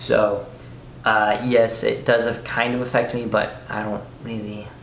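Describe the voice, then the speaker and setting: Against noticeable background noise and audible room echo, a man speaks in a medium pitch. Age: young. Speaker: fitness youtuber with scoliosis. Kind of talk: casual Q&A vlog. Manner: halting, many fillers.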